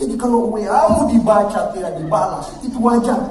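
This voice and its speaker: A man with a Makassar accent speaks in an animated tone at a fairly slow pace, with audible room echo and noticeable background noise. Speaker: university rector giving speech. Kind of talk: ceremonial speech / academic oration. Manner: animated, conversational.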